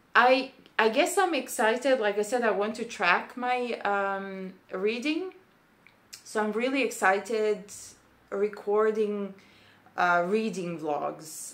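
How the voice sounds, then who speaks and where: A woman with a Serbian accent speaks at a very slow pace, her fairly high voice showing ordinary pitch variation. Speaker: booktuber, PhD student. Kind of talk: casual vlog monologue. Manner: hesitant, many fillers.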